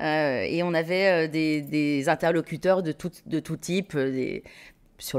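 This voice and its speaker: In a very clean recording with a silent background, a woman with a very deep, low pitch speaks at a very slow pace with fairly even intonation. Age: 50s. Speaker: textile business co-founder. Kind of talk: interview conversation. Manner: hesitant, with frequent repetitions.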